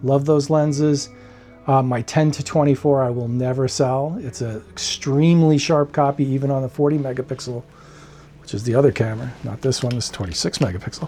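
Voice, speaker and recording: A man's voice at medium pitch, fairly quick in pace, with ordinary pitch variation. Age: 60s. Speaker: photography YouTuber. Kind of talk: casual vlog talk. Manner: halting, many fillers and restarts.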